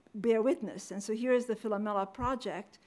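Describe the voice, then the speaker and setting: A woman with a non-native accent, fairly quick in pace, with ordinary pitch variation. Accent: foreign. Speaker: historian, panel speaker. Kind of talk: academic lecture. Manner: fast.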